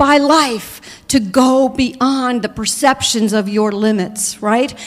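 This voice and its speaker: An animated-sounding woman with an American accent. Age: 60s. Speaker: minister. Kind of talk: sermon.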